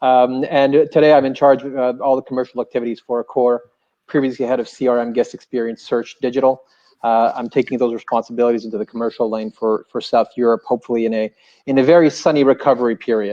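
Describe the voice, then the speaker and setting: A man with a French Canadian accent speaks at a very fast pace with fairly even intonation. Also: medium pitch for a man. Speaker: hotel group commercial executive. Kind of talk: panel discussion. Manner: halting, many repeated words.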